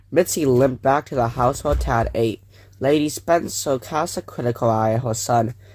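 This is a natural reading voice.

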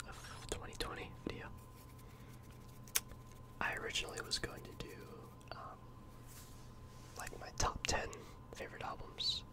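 Whispering is what this man does. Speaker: ASMR creator. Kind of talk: casual ASMR talk to camera. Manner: whispered.

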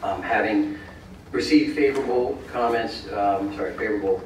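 A fairly low-pitched man's voice amid noticeable background noise and audible room echo. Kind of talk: formal presentation to council. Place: hall. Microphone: camera far.

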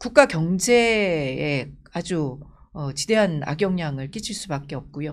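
Her pitch fairly low, a woman speaks very slowly with very wide pitch swings. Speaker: politician. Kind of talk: interview. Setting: studio. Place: studio. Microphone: studio mic.

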